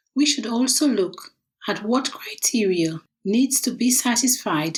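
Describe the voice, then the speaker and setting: Somewhat breathy, a woman talks at a fairly slow pace with lively intonation. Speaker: will writer and author. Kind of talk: audiobook reading of own nonfiction book.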